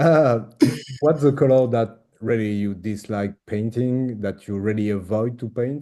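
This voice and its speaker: The voice is dark and mellow, in a French accent, moving at a fairly slow pace with ordinary pitch variation. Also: man, medium pitch for a man. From France. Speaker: interviewer, miniature painting hobbyist. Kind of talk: casual interview host.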